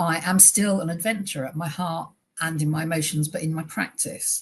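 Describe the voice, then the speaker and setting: The speaker talks at a fairly quick pace in a British accent. The voice is somewhat breathy, with fairly even intonation. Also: woman, fairly low pitch for a woman. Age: 50s. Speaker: charity director. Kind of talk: presentation. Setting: webinar. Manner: fast.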